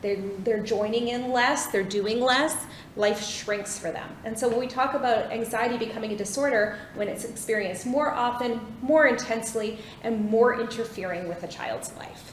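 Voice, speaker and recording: A woman with a Canadian accent, fairly high-pitched, her intonation fairly even, with noticeable background noise and audible room echo. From Vancouver, Canada. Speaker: clinical psychologist. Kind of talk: lecture. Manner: fast.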